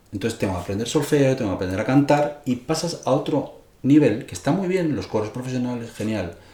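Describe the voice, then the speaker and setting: At a fairly quick pace, a man with medium pitch and lively intonation speaks amid audible room echo. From Spain, Madrid. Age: 60s. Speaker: music teacher and composer. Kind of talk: interview.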